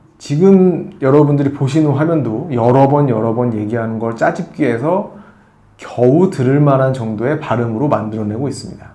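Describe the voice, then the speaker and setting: At a moderate pace, a man speaks with a fairly high pitch and ordinary pitch variation. Audible room echo surrounds his voice. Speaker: tech reviewer. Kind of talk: product review. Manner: conversational with fillers.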